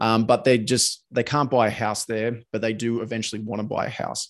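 A man with an Australian accent at a medium pitch and a fairly quick pace, over a quiet background. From Sydney, Australia. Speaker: podcast host. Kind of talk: casual interview chat. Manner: halting, many fillers.

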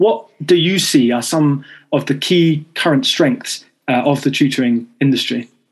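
The voice has a British accent and moves at a fairly slow pace. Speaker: podcast host. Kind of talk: panel discussion moderation. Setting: recording studio.

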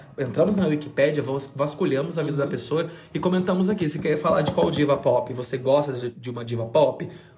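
Over noticeable background noise and audible room echo, a man with a fairly high pitch speaks at a fairly quick pace in an animated tone with ordinary pitch variation. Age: 20s. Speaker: podcast host. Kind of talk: casual chat.

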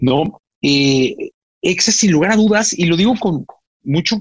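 A somewhat breathy man at a fairly slow pace, with lively intonation. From Mexico, Guadalajara. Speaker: radio producer and broadcaster. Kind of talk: casual interview chat.

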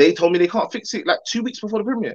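A man talks with a London accent. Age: 30s. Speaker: film director. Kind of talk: casual interview. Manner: animated.

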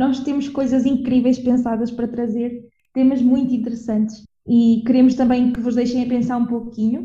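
A woman speaks at a moderate pace in a high pitch with a dark, mellow tone and monotone, flat intonation. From Portugal, Viseu. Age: 20s. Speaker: podcast co-host, anthropology student. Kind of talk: casual chat.

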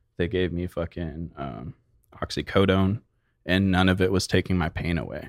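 A man speaks in an American accent, his pitch very deep and low, with vocal fry. The sound is dry and close with no echo, and the recording is very clean with a silent background. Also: ordinary pitch variation, moderate pace. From Arizona, Phoenix area. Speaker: hash maker, cannabis business owner. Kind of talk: casual interview. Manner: soft-spoken.

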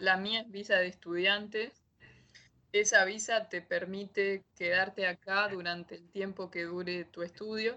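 A woman with a Rioplatense accent talks at a fairly slow pace, her pitch medium and her intonation monotone and flat. Her loudness swings by large amounts. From Argentina, Buenos Aires. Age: 20s. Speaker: master's student. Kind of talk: interview.

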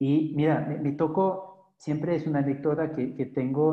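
A man's fairly high voice at a moderate pace. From Belgium. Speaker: pelvic floor physiotherapist. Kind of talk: professional interview. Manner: halting, frequent repetitions.

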